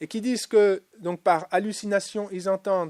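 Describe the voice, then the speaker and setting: The man's pitch is high, with ordinary pitch variation and a moderate pace. The very clean recording has a silent background and a dry, close sound with no echo. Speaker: lecturer. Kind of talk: lecture. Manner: hesitant, many filler sounds.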